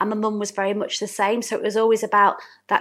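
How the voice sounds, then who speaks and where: A woman with a Yorkshire accent, on a very clean recording against a silent background. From Hatfield, near Doncaster, South Yorkshire. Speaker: small business owner, interview guest. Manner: warm, chatty.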